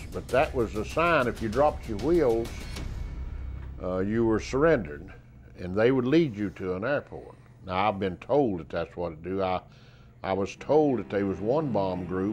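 A man speaks with a Southern US accent, his pitch swinging very widely. Long, frequent pauses break his speech while faint music plays in the background. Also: fairly low pitch for a man, moderate pace. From South Carolina. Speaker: war veteran. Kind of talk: interview answer. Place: studio. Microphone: lapel.

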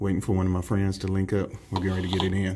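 This man has a very deep, low voice. It sounds somewhat breathy. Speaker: fitness vlogger. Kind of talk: casual vlog chat. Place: bathroom. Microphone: phone near.

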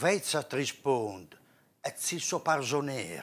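A man talks very slowly, his intonation lively. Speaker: poetry reciter. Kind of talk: dialect poetry reading. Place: studio. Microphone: lapel.

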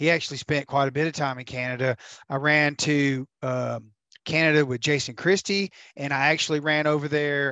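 A man speaks at a moderate pace with fairly even intonation, the sound dry with no echo over a quiet background. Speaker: fishing tournament videographer. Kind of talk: casual podcast chat. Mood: relaxed, conversational. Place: home room. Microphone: headset.

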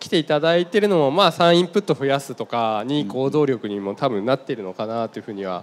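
The speaker races at a very fast pace with hardly any pauses and very wide pitch swings. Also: man, fairly high pitch for a man. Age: 30s. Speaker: seminar MC and company head; seminar MC. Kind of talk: moderated stage talk. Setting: stage with live audience. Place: stage. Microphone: handheld.

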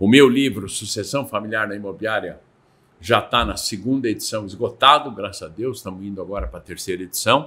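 Bright and sharp in tone, a man talks at a fairly quick pace. His pitch shows ordinary variation. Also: fairly low pitch for a man, big swings in loudness. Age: 60s. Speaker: real estate consultant; guest. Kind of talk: interview. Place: studio. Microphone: studio mic.

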